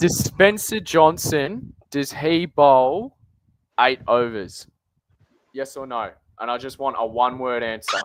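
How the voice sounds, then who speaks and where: Speaking very slowly with long, frequent pauses, a man with an Australian accent uses lively intonation and big swings in loudness. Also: medium pitch for a man. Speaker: fantasy cricket podcaster. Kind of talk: casual podcast chat. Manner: quiet.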